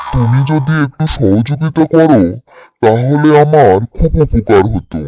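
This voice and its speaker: Cartoonish character voice from a man, medium in pitch, with lively intonation. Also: fairly slow pace. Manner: familiar, condescending.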